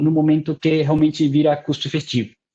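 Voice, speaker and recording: A man's dark, mellow voice comes through somewhat breathy over a quiet background. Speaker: university researcher, webinar presenter. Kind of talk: technical webinar lecture. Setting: online webinar. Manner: hesitant, many fillers.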